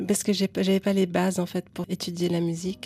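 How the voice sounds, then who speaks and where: Over music in the background, a woman speaks at a fairly slow pace with a fairly low pitch and monotone, flat intonation. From Lebanon. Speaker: singer-songwriter. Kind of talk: interview. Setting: studio.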